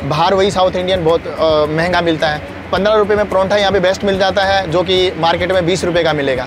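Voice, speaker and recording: A high-pitched male voice with hardly any pauses, fairly even intonation, and noticeable background noise. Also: moderate pace, dry sound with no echo. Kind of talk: interview answer. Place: garden. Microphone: lapel.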